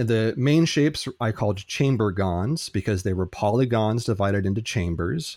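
Against a silent background on a very clean recording, a man with an unremarkable speaking voice and a fairly low pitch speaks at a moderate pace with very even loudness and ordinary pitch variation. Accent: American. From United States. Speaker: philosophy and logic teacher. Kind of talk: interview.

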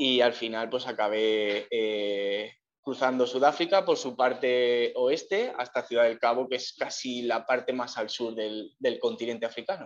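Using an unremarkable speaking voice, a man of medium pitch talks at a fairly slow pace with ordinary pitch variation. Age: 30s. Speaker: long-distance cycle tourer. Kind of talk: interview. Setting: remote call from Cape Town.

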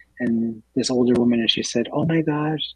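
A man with a normal speaking voice talks at a moderate pace and medium pitch with fairly even intonation, in a dry, close sound with no echo. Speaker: clinic executive officer, guest. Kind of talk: casual radio interview.

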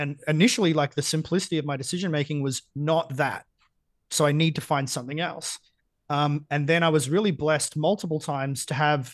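A fairly high-pitched man at a fairly quick pace, with a quiet background. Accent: Australian. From Australia, Geelong (country Victoria). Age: 30s. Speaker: business coach. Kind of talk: casual interview.

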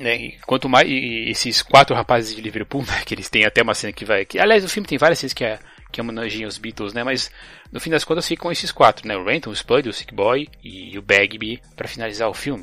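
Bright, sharp male voice at medium pitch, with ordinary pitch variation, a fairly quick pace and big swings in loudness. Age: 30s. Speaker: podcast host. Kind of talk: casual chat. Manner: halting.

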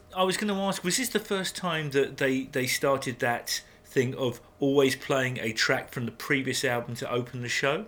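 A man with an English accent, fairly high in pitch, lively intonation, moderate pace and hardly any pauses. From England. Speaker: podcast co-host. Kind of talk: casual chat.

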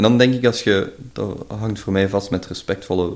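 Fairly quick delivery comes from an unremarkable speaking voice. The pitch varies in an ordinary way. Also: man. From Belgium, Limburg. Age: 20s. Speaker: podcast host and entrepreneur. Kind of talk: casual interview chat.

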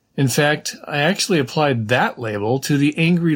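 With an American accent, a man talks at a moderate pace in a fairly high pitch with lively intonation on a very clean recording with a silent background. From California. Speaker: podcast host and newsletter writer. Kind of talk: podcast monologue reading a rant. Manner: emphatic.

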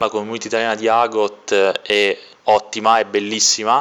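The man's fairly low voice moves at a moderate pace. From Sicily, province of Trapani. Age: 20s. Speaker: competitive card game player. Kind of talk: interview answers.

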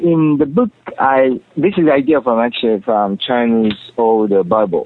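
A man talks with a Japanese accent. His pitch is medium. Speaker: author and company president. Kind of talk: radio interview. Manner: halting, searching for words.

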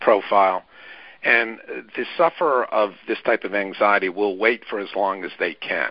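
A man with a normal speaking voice and a fairly low pitch talks at a moderate pace. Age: 60s. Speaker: therapist and author. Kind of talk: interview.

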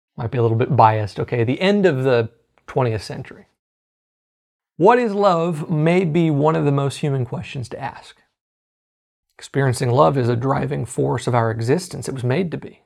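A man with an American accent, medium pitch, lively intonation, a moderate pace and long, frequent pauses. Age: 30s. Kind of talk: teaching sermon. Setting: live online broadcast.

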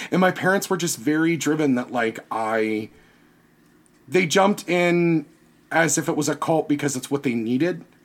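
A man's normal speaking voice, a normal speaking voice, fairly high in pitch with ordinary pitch variation, at a moderate pace, on a very clean recording with a silent background. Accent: American. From US South, Virginia. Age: 30s. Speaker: podcaster and costume designer. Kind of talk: casual interview chat.

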